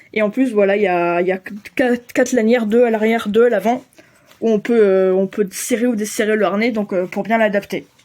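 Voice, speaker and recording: Fairly quick pace and fairly even intonation. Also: woman, fairly high pitch for a woman. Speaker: pet vlogger. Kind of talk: casual vlog talk to camera. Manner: fast; hesitant, many fillers.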